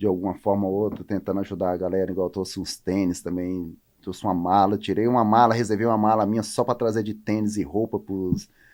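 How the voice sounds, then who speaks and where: A man with a fairly low pitch talks at a very fast pace with hardly any pauses and a monotone, flat intonation, recorded very cleanly against a silent background. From Roraima, northern Brazil. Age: 30s. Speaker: professional volleyball player. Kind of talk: interview.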